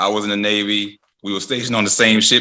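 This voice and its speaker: Talking at a very fast pace, a man with a fairly low pitch has a bright, sharp tone. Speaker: music producer and songwriter. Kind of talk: podcast interview.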